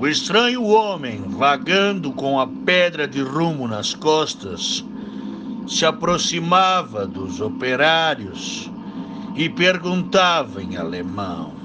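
Over noticeable background noise, a man with a high pitch speaks at a very slow pace with very wide pitch swings. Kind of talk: ghost story telling, spooky campfire-style narration of a local legend. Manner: hushed, suspenseful, slow and dramatic, building eerie tension.

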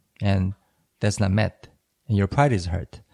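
Spoken at a moderate pace, the voice has a dark, mellow tone and a Korean accent. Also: man. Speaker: language learning podcast co-host. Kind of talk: casual chat.

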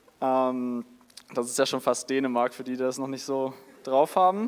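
This man's pitch is fairly high. He talks at a moderate pace. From northern Germany, near Denmark. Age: 20s. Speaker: student, youth preacher, worship leader. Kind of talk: sermon. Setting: church service with audience. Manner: animated.

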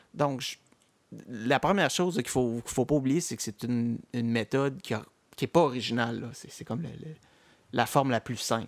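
With long, frequent pauses at a moderate pace, a man talks at a medium pitch with ordinary pitch variation. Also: very clean recording, silent background. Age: 40s. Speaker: podcast host. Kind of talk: casual chat.

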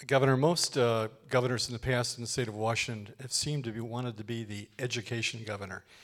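A man's normal speaking voice at medium pitch, fairly quick with fairly even intonation, on a very clean recording with a silent background. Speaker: public administration professor. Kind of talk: public interview. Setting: stage with audience.

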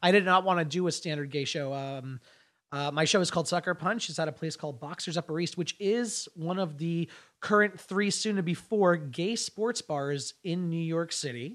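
The recording is very clean with a silent background. A man speaks at a high pitch. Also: ordinary pitch variation, moderate pace. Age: 30s. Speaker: comedian. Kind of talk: casual chat.

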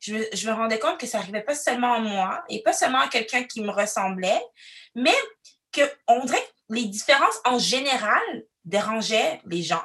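A loud woman's voice, fairly high in pitch, at a moderate pace with lively intonation and long, frequent pauses. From Quebec City, Canada. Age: 30s. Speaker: diversity consultant. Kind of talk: interview testimony. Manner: expressive.

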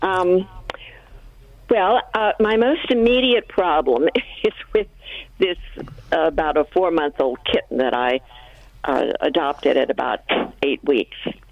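Her fairly low voice moves at a fairly slow pace with very wide pitch swings. This woman keeps a very even loudness and takes long, frequent pauses. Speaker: caller. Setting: phone call.

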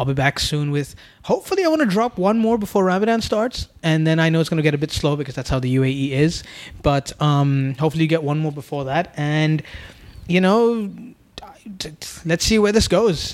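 Using a normal speaking voice, a man talks fairly quickly at a fairly high pitch with ordinary pitch variation. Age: 20s. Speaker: podcast host. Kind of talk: casual chat. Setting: apartment.

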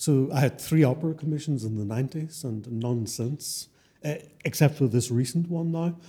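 Somewhat breathy and dark, mellow in tone, a man talks at a moderate pace with a fairly high pitch and ordinary pitch variation. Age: 60s. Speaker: composer. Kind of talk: live interview. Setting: stage with audience.

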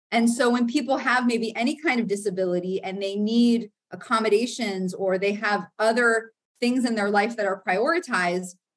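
A woman's somewhat breathy, fairly high voice in an American accent at a moderate pace. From US South, Florida. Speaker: counseling professor. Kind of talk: interview.

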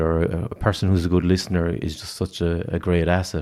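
With an Irish accent, a man speaks at a fairly quick pace in a very deep, low pitch. His tone is dark and mellow. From rural Ireland. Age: 30s. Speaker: youth programme director. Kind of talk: casual interview.

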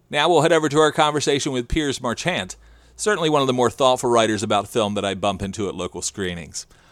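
With an American accent, a man talks at a very fast pace and medium pitch, making very wide pitch swings, in a very clean recording with a silent background. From southern New Jersey, Salem County. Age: 50s. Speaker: podcast host. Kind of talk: interview; scripted narration.

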